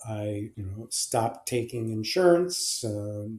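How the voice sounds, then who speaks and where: Somewhat breathy and dark, mellow in tone, a man speaks fairly slowly with lively intonation. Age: 80s+. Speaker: clinical and forensic psychologist. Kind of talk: interview answer. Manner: hesitant, many fillers.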